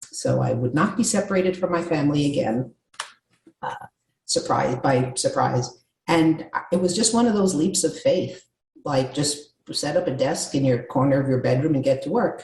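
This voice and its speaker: A woman's very deep, low, somewhat breathy voice with an American accent and lively intonation. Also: moderate pace. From New York. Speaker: communication coach. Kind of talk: interview.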